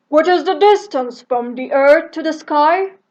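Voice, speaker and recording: Extremely high-pitched put-on character voice from a female speaker. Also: moderate pace. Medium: read story.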